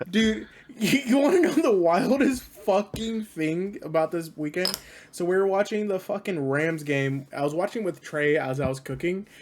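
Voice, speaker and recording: At a moderate pace, a high-pitched man speaks in an animated tone with lively intonation. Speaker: podcast host. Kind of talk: casual chat.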